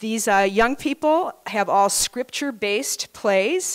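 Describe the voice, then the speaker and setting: A quiet background behind a woman's voice. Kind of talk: show introduction to audience. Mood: warm, grateful. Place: hall. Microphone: handheld.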